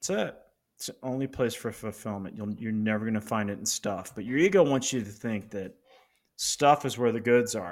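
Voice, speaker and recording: A man with an American accent and a normal speaking voice talks at a moderate pace and medium pitch. His pitch varies in an ordinary way, while his loudness swings widely. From Colorado, US. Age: 50s. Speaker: business coach and author. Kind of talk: casual interview.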